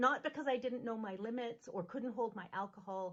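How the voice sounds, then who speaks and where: A loud woman's voice, fairly high in pitch, at a moderate pace. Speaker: minister. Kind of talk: sermon. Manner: animated.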